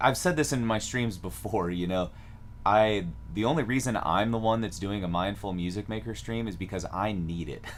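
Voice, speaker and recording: An American accent at a moderate pace with audible room echo. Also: man, fairly low pitch for a man, ordinary pitch variation. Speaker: music teacher. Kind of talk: live stream tutorial. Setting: live stream. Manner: casual, with many fillers.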